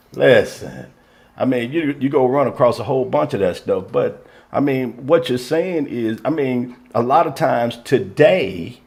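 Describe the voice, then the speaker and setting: A man speaks at a fairly slow pace with medium pitch. His delivery has ordinary pitch variation and a plain, everyday voice. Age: 50s. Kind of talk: casual chat.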